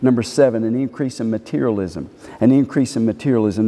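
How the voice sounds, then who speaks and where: The man's intonation stays fairly even as he talks. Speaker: preacher. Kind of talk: sermon. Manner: emphatic, repeating each phrase twice like a pulpit preacher; fervent, pleading, urgent tone. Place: church.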